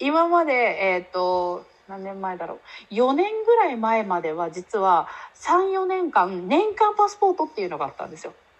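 The pitch swings very widely and the loudness rises and falls a lot. The pace is moderate. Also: woman, fairly high pitch for a woman. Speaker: podcast guest with several side jobs. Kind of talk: casual chat.

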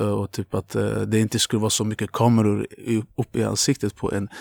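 Using an ordinary speaking voice, a man talks at a fairly quick pace and fairly low pitch, with a dry, close sound with no echo. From Azerbaijan, moved to Luleå at 13. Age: 20s. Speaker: tattoo artist. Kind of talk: casual chat.

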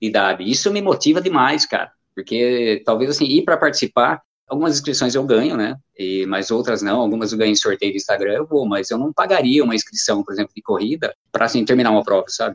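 Dry and close with no echo, the sound carries a man's medium-pitched voice. He talks at a very fast pace with lively intonation. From Brazil, Jundiaí (São Paulo state). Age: 50s. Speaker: amateur runner, running group leader. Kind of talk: casual interview.

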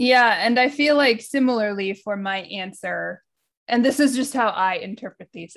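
A plain, everyday voice moves at a moderate pace. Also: woman. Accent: American. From United States. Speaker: podcast co-host. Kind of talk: casual chat. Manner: laughs often.

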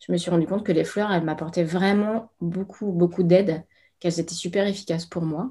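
There is a somewhat breathy quality to this woman's dark, mellow tone. The background is silent on this very clean recording. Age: 40s. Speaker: Bach flower consultant. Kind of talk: interview.

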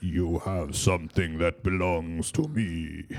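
A man does a put-on character voice, very deep and low in pitch, with fairly even intonation at a fairly slow pace. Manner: menacing, ominous.

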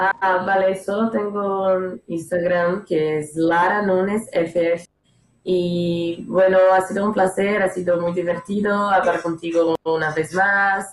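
A woman speaks very slowly with a Portuguese accent. Her medium-pitched voice is monotone, with flat intonation. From northeastern Brazil, Maceió. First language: Portuguese (speaking Spanish). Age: 20s. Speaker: former exchange student. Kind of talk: casual chat.

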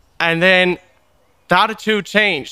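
A man with an Irish accent raises and projects his voice, pitched high with a bright, sharp tone. His intonation stays fairly even. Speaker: podcast host. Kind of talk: casual interview chat.

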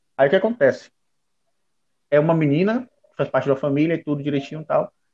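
The speaker is a man. His pitch sits fairly high. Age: 30s. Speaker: anime podcast guest. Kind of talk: casual chat.

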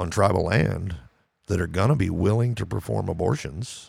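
The recording is very clean, with a silent background. A man with a very deep, low pitch and vocal fry speaks with lively intonation. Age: 50s. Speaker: podcast co-host. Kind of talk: casual chat.

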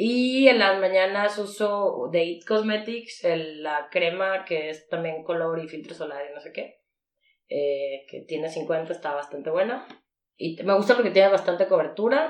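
In a Mexican accent, a woman speaks at a fairly slow pace and medium pitch. Her intonation is lively, with big swings in loudness. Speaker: podcast co-host. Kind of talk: casual chat.

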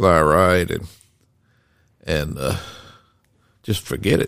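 Here a man speaks with a Southern US accent at a very deep, low pitch and a fairly slow pace, with vocal fry. The recording is very clean with a silent background. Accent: Southern US (Georgia). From Decatur, Georgia, US South. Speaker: host's father, storyteller. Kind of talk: casual storytelling conversation. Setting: home library.

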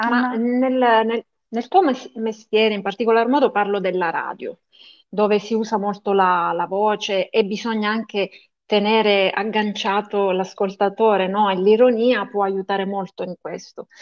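A woman's normal speaking voice, fairly high in pitch, at a fairly slow pace with fairly even intonation. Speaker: podcast co-host. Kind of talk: casual interview chat.

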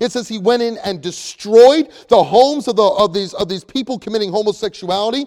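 A man's high voice moves fairly briskly, its pitch shifting in a normal way. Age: 30s. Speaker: pastor. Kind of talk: sermon. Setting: church. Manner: halting, many fillers.

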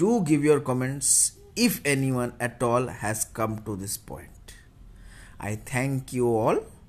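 Over music in the background, a man speaks at a very slow pace with big swings in loudness. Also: medium pitch for a man, ordinary pitch variation. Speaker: hobby podcaster. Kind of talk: solo opinion monologue. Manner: deliberately modulated, podcast-like delivery.

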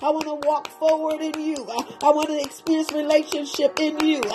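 A woman speaks in a high pitch with monotone, flat intonation at a moderate pace. Noticeable background noise can be heard behind her. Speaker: prayer leader. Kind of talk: fervent intercessory prayer. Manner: impassioned, rhythmic, repetitive; urgent, pleading, rising in intensity.

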